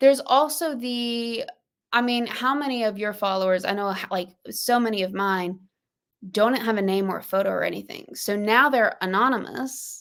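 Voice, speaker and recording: With a Southern US accent, a woman speaks at a moderate pace in a fairly high pitch and an animated tone. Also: ordinary pitch variation. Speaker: podcast host and small business owner. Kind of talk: casual podcast conversation. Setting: livestream.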